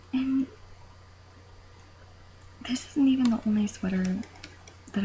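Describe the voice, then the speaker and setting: The speaker is soft-spoken, talking at a moderate pace with ordinary pitch variation and long, frequent pauses. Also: woman. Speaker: knitter. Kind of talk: casual talk to camera. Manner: quiet, soft-spoken.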